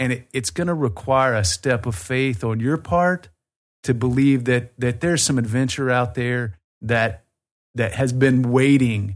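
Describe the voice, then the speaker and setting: A man with a Southern US accent speaks at a moderate pace. His pitch is medium and the background is quiet. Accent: Southern US, noticeable. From Birmingham, Alabama, US South. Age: 40s. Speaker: tour company owner. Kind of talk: casual interview chat.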